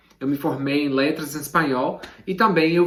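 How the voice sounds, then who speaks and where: A man with an English accent at a moderate pace, fairly even in intonation, amid noticeable background noise and audible room echo. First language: English (speaking Portuguese). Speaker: literature teacher. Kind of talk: tutorial. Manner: casual, direct to camera.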